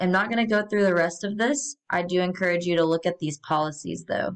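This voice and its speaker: A woman with a fairly low pitch talks at a moderate pace in a plain, everyday voice, using ordinary pitch variation. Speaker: college math instructor. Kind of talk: course welcome video tutorial. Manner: casual with many fillers.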